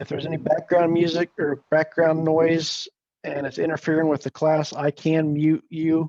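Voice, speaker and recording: A man with a fairly high voice speaks at a moderate pace, recorded dry and close with no echo. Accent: Midwestern American. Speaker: conservation director teaching beekeeping. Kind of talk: online class lecture. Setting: video call.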